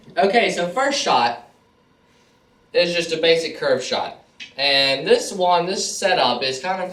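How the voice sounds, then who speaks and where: Audible room echo and noticeable background noise run through this recording. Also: man. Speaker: pool trick shot player. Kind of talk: tutorial. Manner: casual, filler-heavy.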